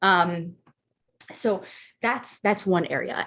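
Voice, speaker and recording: Speaking very slowly over a quiet background, a woman uses a fairly low pitch with ordinary pitch variation. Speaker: life coach running a live group session. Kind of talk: live group coaching session. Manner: casual, filler-heavy.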